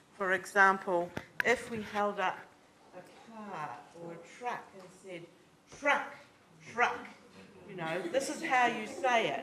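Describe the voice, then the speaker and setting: A woman speaks at a medium pitch with lively intonation and a fairly slow pace, leaving long, frequent pauses. Noticeable background noise and audible room echo surround her. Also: big swings in loudness. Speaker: discussant at seminar. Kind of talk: public commentary. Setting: lecture theatre. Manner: loud.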